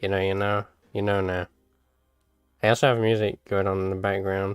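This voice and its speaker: Fairly low-pitched mumbling from a man at a fairly quick pace, monotone and flat, with music in the background. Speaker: animator streaming work. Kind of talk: live stream commentary. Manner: halting.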